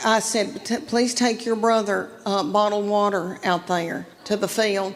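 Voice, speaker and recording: With a Southern US accent, a woman speaks at a fairly high pitch using fairly even intonation. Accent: Southern American. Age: 50s. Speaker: stand-up comedian. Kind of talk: stand-up comedy set.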